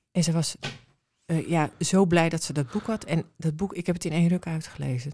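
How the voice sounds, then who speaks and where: A somewhat breathy voice with a dark, mellow tone moves at a moderate pace with fairly even intonation. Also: woman. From Amsterdam. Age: 50s. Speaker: mother of a son with brain injury. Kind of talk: interview. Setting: studio.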